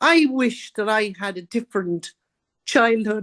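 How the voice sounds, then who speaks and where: A woman with an Irish accent, fairly high-pitched and very slow, with ordinary pitch variation and a dry, close sound with no echo. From Ireland, County Carlow. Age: 70s. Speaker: author and abuse survivor. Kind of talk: interview.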